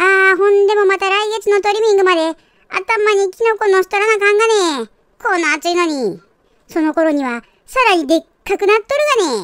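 A woman's put-on character voice, pitched extremely high. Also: moderate pace. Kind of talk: comedic pet dubbing.

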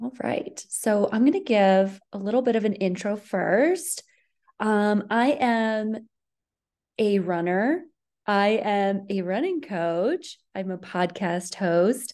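Over a quiet background, a woman talks at a very slow pace with lively intonation. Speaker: running coach presenting. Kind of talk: webinar presentation. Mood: friendly, upbeat. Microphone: webcam.

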